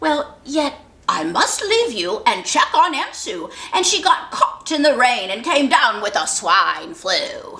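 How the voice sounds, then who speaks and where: High-pitched, fairly slow delivery in a put-on character voice. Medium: read story.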